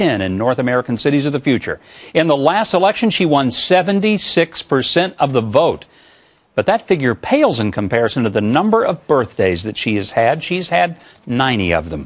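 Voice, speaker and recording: Pitched fairly high, a man talks at a fairly quick pace with very wide pitch swings and vocal fry. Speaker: TV talk show host. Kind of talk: TV show introduction.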